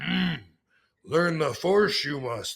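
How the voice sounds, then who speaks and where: A man performs a put-on character voice. The pitch is fairly high. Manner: hesitant, reversed word order.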